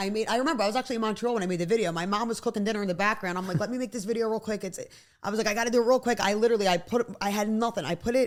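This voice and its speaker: This woman talks at a very fast pace. Her fairly high pitch shows ordinary variation. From South Philadelphia. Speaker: nursing student and former esthetician. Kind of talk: casual chat. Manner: animated, rambling storytelling.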